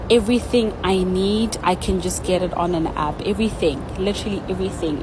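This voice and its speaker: At a moderate pace, the voice comes through audible room echo and noticeable background noise. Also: woman. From South Africa. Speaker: vlogger. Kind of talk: casual vlog narration.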